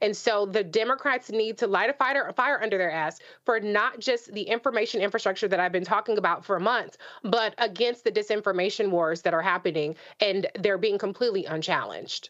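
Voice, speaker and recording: A woman keeps a fairly quick pace, and her pitch varies in an ordinary way. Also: very even loudness, quiet background. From Los Angeles. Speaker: radio host and panelist. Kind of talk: panel discussion. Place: home room.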